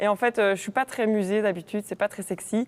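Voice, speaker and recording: A woman with a Belgian accent speaks at a medium pitch and moderate pace, keeping fairly even intonation in a dry, close sound with no echo. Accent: Namur Belgian French. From Belgium, Namur. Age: 20s. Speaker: university student ambassador. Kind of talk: casual chat. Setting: live stream studio.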